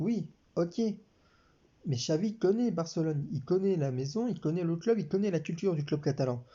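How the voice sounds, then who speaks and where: A man's high voice at a moderate pace, with long, frequent pauses. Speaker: sports commentator YouTuber. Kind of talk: casual talk to camera.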